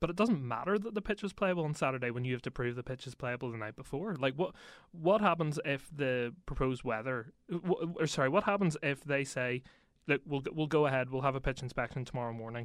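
On a very clean recording with a silent background, a man speaks with a Northern Irish accent. His pitch is fairly high, his intonation lively, and his pace fairly quick. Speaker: sports reporter. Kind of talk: casual chat.

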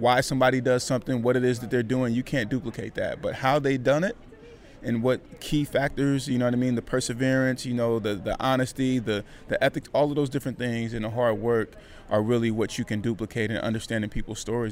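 Over music in the background, a man with an American accent speaks at a very fast pace, medium in pitch, with fairly even intonation. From California (Vallejo). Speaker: motivational speaker and podcaster. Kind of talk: interview.

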